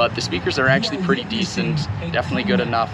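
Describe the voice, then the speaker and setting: Loud background noise fills the clip. Through it, a man is talking. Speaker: vehicle owner vlogger. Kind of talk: casual vlog chat. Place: street. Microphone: phone near.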